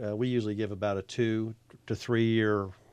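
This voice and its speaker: Against a quiet background, a man speaks in a fairly low, monotone voice with flat intonation. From Virginia, military family moving across US states. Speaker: pool builder. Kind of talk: casual radio interview. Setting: radio studio.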